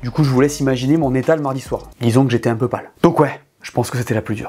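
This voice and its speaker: A man with a Toulouse accent speaks at a very fast pace. His tone is animated. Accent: Toulouse accent, noticeable. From France, Toulouse. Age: 30s. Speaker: YouTuber, F1 commentator. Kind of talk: casual chat.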